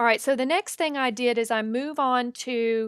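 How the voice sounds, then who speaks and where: In a Southern US accent, a woman talks at a fairly slow pace on a very clean recording with a silent background and a dry, close sound free of echo. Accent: Southern US accent, noticeable. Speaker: photographer and digital artist. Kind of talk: tutorial. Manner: casual, conversational.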